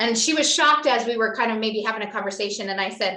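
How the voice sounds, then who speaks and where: Her pitch is fairly high, her tone bright, sharp and animated. This woman speaks with lively intonation. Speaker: network marketing distributor and entrepreneur. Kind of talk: motivational talk to a team on a video call.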